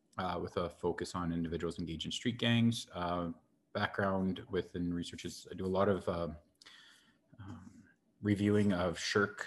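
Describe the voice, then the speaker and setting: Speaking with fairly even intonation at a moderate pace, a man has a very deep, low voice. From Saskatchewan, Prince Albert (Métis). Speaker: professor. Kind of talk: panel introduction. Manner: hesitant, many fillers.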